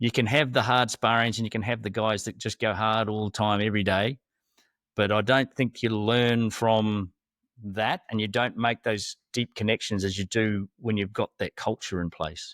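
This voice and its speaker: A man's ordinary speaking voice, with fairly even intonation at a moderate pace, in a very clean recording with a silent background and a dry, close sound with no echo. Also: fairly low pitch for a man. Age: 60s. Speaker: podcast host and former fighter. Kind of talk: casual chat.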